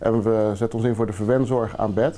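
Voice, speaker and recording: A dark, mellow tone at a moderate pace. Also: man. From Netherlands. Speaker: charity founder. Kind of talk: interview. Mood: earnest, calm. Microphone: lapel.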